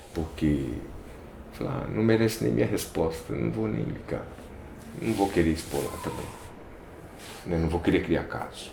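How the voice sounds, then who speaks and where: A man speaks in a very deep, low voice with very wide pitch swings and long, frequent pauses, and the room echo is audible. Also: moderate pace. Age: 60s. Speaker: photographer. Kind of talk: documentary interview. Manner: casual, hesitant with fillers.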